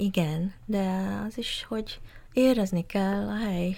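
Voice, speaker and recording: A woman with an English accent speaks at a medium pitch with ordinary pitch variation. Her voice is somewhat breathy, with a dark, mellow tone. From Malaysia, Malacca (Straits Chinese). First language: English (speaking Hungarian). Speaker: gallery founder. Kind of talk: interview. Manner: halting.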